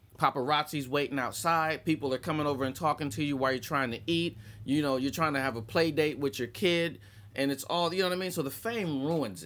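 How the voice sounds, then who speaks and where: Recorded very cleanly with a silent background, a man with an unremarkable speaking voice talks at a fairly quick pace, his pitch fairly high with ordinary pitch variation. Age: 40s. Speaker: stand-up comedian. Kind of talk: casual chat.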